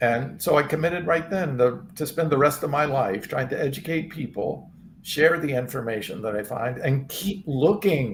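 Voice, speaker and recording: Fairly high-pitched, somewhat breathy male speech with lively intonation at a moderate pace. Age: 60s. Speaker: vegan supplement company founder. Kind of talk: interview testimony. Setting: live stream. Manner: halting.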